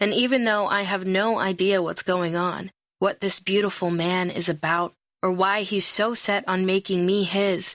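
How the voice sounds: Fairly even intonation marks a natural reading voice against a quiet background.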